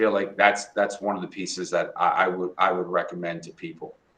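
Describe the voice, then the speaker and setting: This man talks with ordinary pitch variation. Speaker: high school principal. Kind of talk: podcast interview. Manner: fast; animated.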